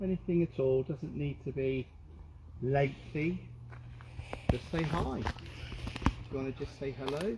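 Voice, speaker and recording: The speech moves at a fairly slow pace with long, frequent pauses, and noticeable background noise runs underneath. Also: man, medium pitch for a man, ordinary pitch variation. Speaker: paranormal investigator. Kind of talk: casual talk during a paranormal investigation. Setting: outdoors in woods, livestreamed. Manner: calm, soothing.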